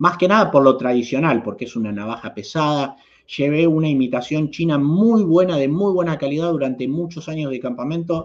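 Over a quiet background, a man with a Rioplatense accent talks fairly quickly at a fairly high pitch with ordinary pitch variation. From Argentina. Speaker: YouTube host, knife and EDC enthusiast; channel host. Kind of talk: livestream chat reading viewer comments. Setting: live stream. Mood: friendly, relaxed. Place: home room. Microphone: webcam.

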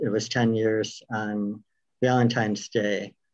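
A man speaks at a very slow pace against a quiet background. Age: 50s. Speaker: cancer patient and storyteller. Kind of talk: comedic storytelling performance; interview. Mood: reflective, personal storytelling. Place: home room. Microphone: video call.

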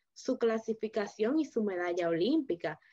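Against a quiet background, a woman speaks at a moderate pace. Her tone is dark and mellow, and her pitch is medium. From Dominican Republic. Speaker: interviewer. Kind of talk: interview. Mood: friendly, engaged. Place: home room. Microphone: video call.

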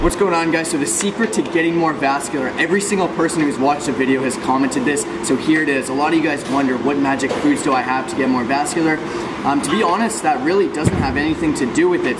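Through loud background noise, a man speaks very fast with ordinary pitch variation. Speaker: fitness creator. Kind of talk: casual fitness tutorial. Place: gym. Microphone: phone near.

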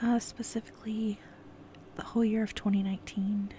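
Over light background noise, a woman speaks at a fairly slow pace in a relaxed tone, her medium-pitched voice monotone and flat. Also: dry sound with no echo. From California. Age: 20s. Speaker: ASMR YouTuber. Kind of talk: casual Q&A monologue. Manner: relaxed, giggly with frequent fillers. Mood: open, a bit somber. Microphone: earbuds.

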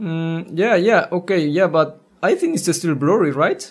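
Speaking at a fairly slow pace, a man with a high pitch uses lively intonation.

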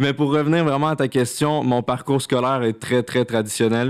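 In a Quebec accent, a man talks at a moderate pace with fairly even intonation and very even loudness against a quiet background. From Quebec, Laurentides. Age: 20s. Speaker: content creator. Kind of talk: casual chat. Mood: relaxed, cheerful. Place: studio. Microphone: studio mic.

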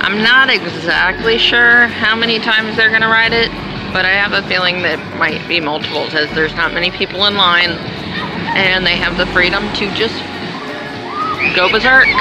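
Clear music plays in the background as the speech moves at a moderate pace with long, frequent pauses, the sound dry with no echo. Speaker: family vlogger. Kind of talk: casual vlog chat. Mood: cheerful, upbeat. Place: street. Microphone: phone near.

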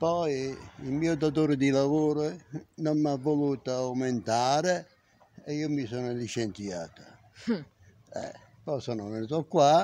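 Very slow, fairly high-pitched speech from a man, with ordinary pitch variation and long, frequent pauses. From southern Italy, Campania (Villa Literno, Caserta); Campania, Italy. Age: 70s. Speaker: retired factory worker. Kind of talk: interview about life story. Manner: halting. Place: street. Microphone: phone near.

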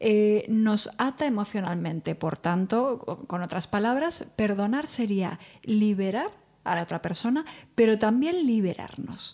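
A woman speaks at a fairly slow pace with a fairly high pitch. Her tone is dark and mellow, set against a quiet background. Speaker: psychologist. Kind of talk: casual chat. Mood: calm, friendly, explanatory. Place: studio. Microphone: studio mic.

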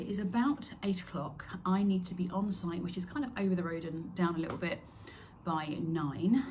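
A woman speaks at a moderate pace. Light background noise is present. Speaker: crochet workshop host. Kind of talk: casual vlog chat. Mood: excited, a little nervous. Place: home room. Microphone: phone near.

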